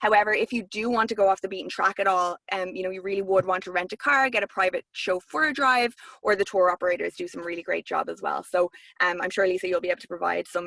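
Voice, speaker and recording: A woman at a very fast pace, bright and sharp in tone, dry and close with no echo. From Ireland, north side of Dublin. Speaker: tourism representative. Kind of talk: webinar presentation with Q&A. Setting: live video stream, camera off.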